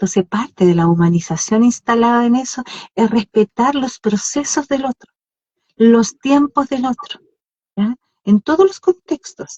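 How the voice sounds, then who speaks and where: Slow-paced speech from a woman has a dark, mellow tone at fairly high pitch, her pitch swinging very widely. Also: dry, close sound with no echo. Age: 60s. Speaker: podcast co-host. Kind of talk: casual chat. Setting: live Instagram stream.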